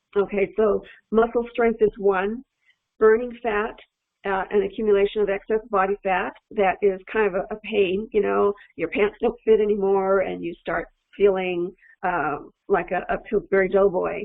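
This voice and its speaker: Here is a woman with an unremarkable speaking voice at a medium pitch. Her pace is moderate and her intonation fairly even. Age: 60s. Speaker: nutritional physiologist. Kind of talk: educational talk to camera. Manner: casual, many fillers and restarts.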